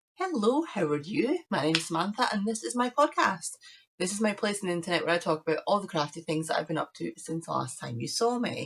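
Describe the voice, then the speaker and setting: Talking at a very fast pace in a British accent, a woman's pitch swings very widely. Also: medium pitch for a woman. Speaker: crafting podcaster. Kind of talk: casual chat.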